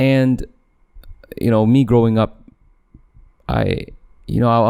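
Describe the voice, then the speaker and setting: A man's fairly low voice with a dark, mellow tone, fairly even intonation and a moderate pace. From Malaysia. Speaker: podcast host. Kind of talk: casual monologue. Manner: hesitant, many fillers and restarts.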